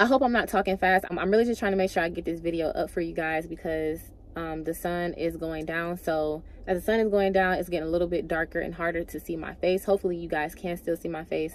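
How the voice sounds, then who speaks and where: A very fast woman's voice, fairly low in pitch, with fairly even intonation. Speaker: beauty vlogger. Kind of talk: vlog monologue. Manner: casual.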